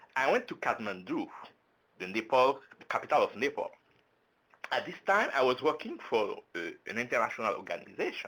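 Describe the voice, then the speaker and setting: A man with a French accent at a fairly quick pace, with long, frequent pauses. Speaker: French language services presenter. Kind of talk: webinar presentation. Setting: online webinar.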